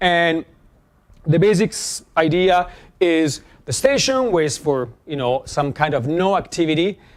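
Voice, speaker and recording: A loud man's voice, high-pitched, with lively intonation. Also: fairly slow pace. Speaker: professor. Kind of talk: lecture. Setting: classroom. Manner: halting.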